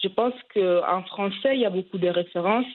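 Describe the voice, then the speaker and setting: Medium pitch from a woman, delivered fairly slowly, the pitch varying in an ordinary way. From Italy, of Cameroonian descent. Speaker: journalist. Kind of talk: interview. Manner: hesitant, many fillers.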